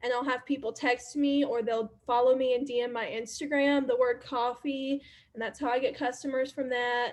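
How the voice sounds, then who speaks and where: Her voice is high-pitched for a woman. She keeps a moderate pace. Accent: Alabama. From US South, Alabama. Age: 20s. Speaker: network marketer and social media creator. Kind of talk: casual workshop talk.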